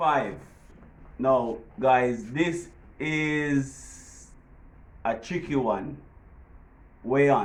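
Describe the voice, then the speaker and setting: This man has a strong Jamaican accent, a medium-pitched voice and ordinary rise and fall in his pitch. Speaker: vlogger. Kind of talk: casual tutorial.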